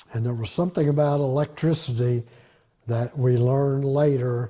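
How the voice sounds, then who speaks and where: With an American accent, the voice has a dark, mellow, somewhat breathy tone and fairly even intonation at a moderate pace. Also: man. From Southern Indiana. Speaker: retired math and physics teacher. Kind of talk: oral history interview answer.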